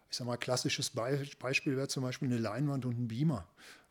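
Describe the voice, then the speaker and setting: Very fast speech from a man at medium pitch, fairly even intonation, on a very clean recording with a silent background. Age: 50s. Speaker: local politician. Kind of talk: podcast interview.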